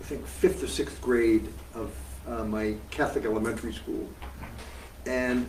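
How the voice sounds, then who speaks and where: A man with an American accent, amid audible room echo and noticeable background noise. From US Northeast (Massachusetts). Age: 70s. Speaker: veteran socialist activist. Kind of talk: interview. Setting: live event with audience. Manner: projects well.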